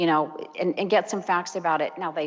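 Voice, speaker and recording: A woman speaks at a fairly quick pace with a fairly low pitch and fairly even intonation. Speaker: seminar presenter on courtroom testimony. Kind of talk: lecture. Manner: fast.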